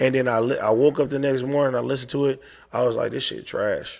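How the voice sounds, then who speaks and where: A man's ordinary speaking voice at a fairly quick pace. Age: 30s. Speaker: rapper. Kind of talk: casual chat.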